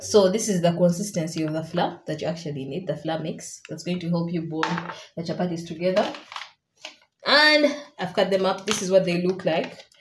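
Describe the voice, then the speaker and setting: Audible room echo fills the recording. The talking is fairly quick. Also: woman. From Uganda. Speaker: cooking vlogger. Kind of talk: casual vlog tutorial. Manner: playful, chatty.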